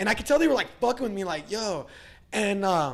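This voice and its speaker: At a fairly quick pace, a man talks in a high pitch with very wide pitch swings. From Virginia, US. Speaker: musician and skateboarder. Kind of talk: casual interview chat. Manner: casual, filler-heavy.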